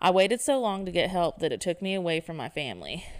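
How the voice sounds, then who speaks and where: A woman speaks with a Southern US accent. Her pace is fairly quick, with ordinary pitch variation. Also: very clean recording, silent background. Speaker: podcast co-host. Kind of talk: casual chat.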